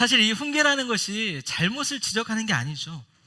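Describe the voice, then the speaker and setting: A man speaks in a raised, projected voice at a fairly slow pace. His tone is bright and sharp, with lively intonation. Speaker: pastor. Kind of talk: sermon. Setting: church.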